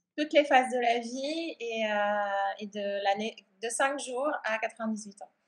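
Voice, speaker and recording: A woman's fairly high-pitched voice, calm in tone, fairly slow in pace, with ordinary pitch variation. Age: 40s. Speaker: art and yoga therapist. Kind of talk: interview.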